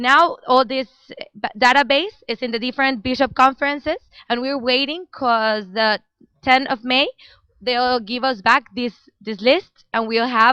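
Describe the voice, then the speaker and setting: A woman with a Spanish accent speaks at a fairly slow pace and a high pitch, using ordinary pitch variation. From Mexico. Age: young. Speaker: international volunteer. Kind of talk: live stream interview. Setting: office with people working, live stream.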